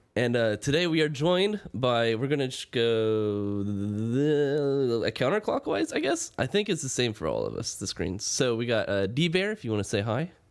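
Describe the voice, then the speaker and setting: Over noticeable background noise, a man talks at a moderate pace and medium pitch, with lively intonation and hardly any pauses. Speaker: podcast host. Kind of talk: casual chat.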